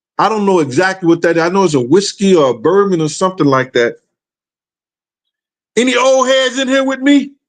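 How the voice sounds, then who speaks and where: His pitch high, a man speaks with very wide pitch swings. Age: 60s. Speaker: hip-hop talk show host. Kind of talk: casual monologue.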